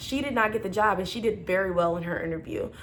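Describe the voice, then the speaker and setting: Woman at a fairly quick pace with audible room echo. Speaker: flight attendant. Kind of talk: casual vlog advice. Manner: fast; loud.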